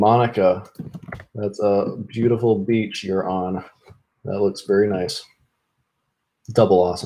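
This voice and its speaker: Speaking in an American accent, a man with a dark, mellow tone and fairly low pitch talks at a fairly slow pace, his intonation fairly even and his pauses long and frequent. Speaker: live streamer, programmer. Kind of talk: live stream chat. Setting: live stream. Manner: repetitive, casual.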